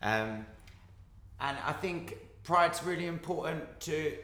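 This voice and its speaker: Speaking with an Essex accent and ordinary pitch variation, a man is heard through audible room echo and noticeable background noise. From Essex, England. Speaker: actor. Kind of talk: casual chat.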